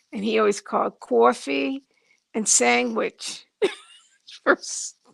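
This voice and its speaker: A woman speaks very slowly with a Boston accent. Long, frequent pauses break up her speech. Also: dry, close sound with no echo. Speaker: channel viewer and chat helper. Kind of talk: casual chat.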